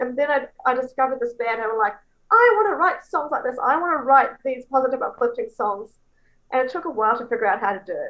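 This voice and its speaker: In a New Zealand accent, a woman speaks very fast at a high pitch. Her intonation is lively. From New Zealand, Coromandel Peninsula. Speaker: songwriter. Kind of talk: interview. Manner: animated.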